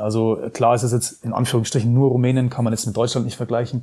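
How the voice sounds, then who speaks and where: A man speaks at medium pitch with monotone, flat intonation over a quiet background. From Germany. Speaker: former pro footballer and pundit. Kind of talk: casual interview. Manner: hesitant, many fillers.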